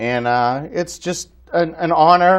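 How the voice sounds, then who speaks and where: Over a quiet background, a man with a fairly high pitch talks with lively intonation in a normal speaking voice. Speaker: co-host of a sports league show. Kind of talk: casual sports talk show.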